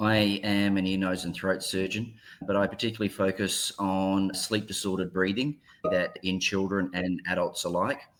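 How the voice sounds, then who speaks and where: A man with an Australian accent speaks at a moderate pace in a fairly low, monotone voice. The recording is very clean, with a silent background. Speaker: ear, nose and throat surgeon. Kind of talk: panel discussion.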